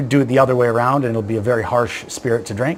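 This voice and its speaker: A man with a Canadian accent at a medium pitch, talking at a very fast pace over noticeable background noise. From Canada. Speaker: whisky blender. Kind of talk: tutorial. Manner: animated.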